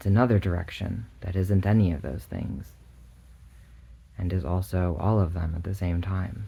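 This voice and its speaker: A man's calm, dark, mellow voice, somewhat breathy, with ordinary pitch variation and long, frequent pauses. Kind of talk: ASMR bedtime visualization, soft-spoken guided relaxation. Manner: soft-spoken, calm, slow.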